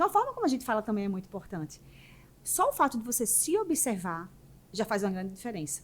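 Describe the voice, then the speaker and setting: At a very fast pace, a woman speaks with a fairly high pitch and very wide pitch swings. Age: 40s. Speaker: business mentor and entrepreneur. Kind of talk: podcast interview. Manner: naturally fast talker.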